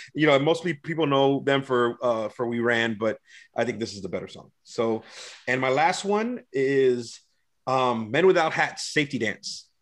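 This is an unremarkable speaking voice, a man at medium pitch talking at a moderate pace with ordinary pitch variation. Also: quiet background. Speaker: podcast co-host. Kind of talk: casual chat.

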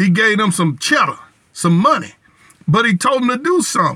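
Projecting a raised voice, a man speaks at a high pitch in a bright, sharp tone with lively intonation. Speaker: preacher leading prayer. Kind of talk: fervent prayer, repetitive 'Lord' cadence, pleading and declaring. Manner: intense, earnest, rhythmic, impassioned.

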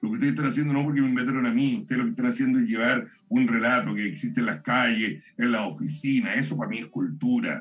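Against noticeable background noise, a man rattles along at a very fast pace with hardly any pauses. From Chile, Santiago. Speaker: poet and performer. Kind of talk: casual chat. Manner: halting.

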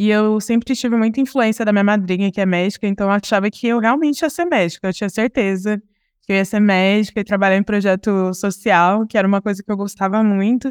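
With an unremarkable speaking voice at medium pitch, a woman talks at a fairly quick pace with hardly any pauses, ordinary pitch variation and very even loudness, in a very clean recording with a silent background. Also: dry, close sound with no echo. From Ribeirão Preto, interior of São Paulo, Brazil. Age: 20s. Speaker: diversity and inclusion professional, entrepreneur. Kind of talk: casual interview.

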